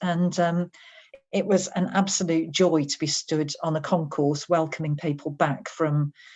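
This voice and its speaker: Speaking at a fairly slow pace, a woman with a Birmingham accent has a fairly low pitch. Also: fairly even intonation. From English West Midlands, Birmingham. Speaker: HR director. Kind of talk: interview.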